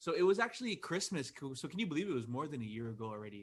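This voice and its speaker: This is a man speaking. His pitch is fairly high. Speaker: podcaster and comedian. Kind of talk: casual interview.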